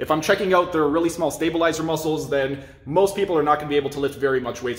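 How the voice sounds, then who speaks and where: Room echo is audible around a man's voice. He talks at a very fast pace with fairly even intonation. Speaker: health coach. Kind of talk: tour and tutorial. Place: gym. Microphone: phone near.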